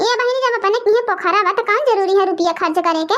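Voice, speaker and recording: A woman puts on a cartoonish character voice, extremely high in pitch, at a very even loudness. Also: fairly quick pace. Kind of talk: rustic comic cartoon dialogue. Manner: loud, rapid, scolding.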